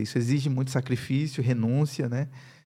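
Over a very clean, silent background, a man talks at a moderate pace with a medium pitch, a somewhat breathy sound and fairly even intonation. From Brazil, Paraíba (Campina Grande). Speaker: pastor and university professor. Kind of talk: interview, personal testimony.

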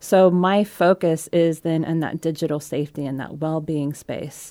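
A woman's very deep, low voice with a dark, mellow tone, on a very clean recording with a silent background. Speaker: digital safety advocate, former programmer. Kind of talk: interview conversation. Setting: radio studio.

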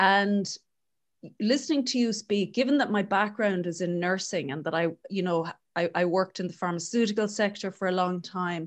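In an Irish accent, a woman speaks at a medium pitch with ordinary pitch variation against a quiet background. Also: moderate pace. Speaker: podcast host and coach. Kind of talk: scripted intro; interview.

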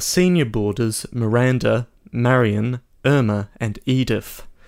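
With an Australian accent, a man talks at a medium pitch and fairly even intonation in a very clean recording with a silent background. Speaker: podcast co-host. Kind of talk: casual chat. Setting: home studio.

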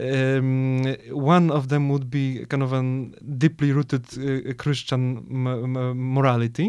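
A man talks very slowly with a Polish accent. His medium-pitched voice stays flat and monotone. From Poland. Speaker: podcast host. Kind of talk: interview. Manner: halting, many repetitions.

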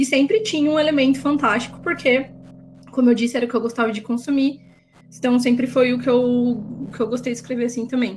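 Speaking very fast, a woman keeps her high pitch in a monotone, flat intonation. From Campinas, interior of São Paulo state, Brazil. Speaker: writer, translator and editor. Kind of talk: casual interview chat.

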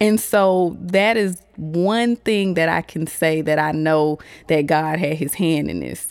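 A woman with an American accent, her pitch fairly low, with ordinary pitch variation and a very slow pace. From Augusta, Georgia, US South. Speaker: podcast host, fashion stylist. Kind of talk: casual solo monologue. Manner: animated.

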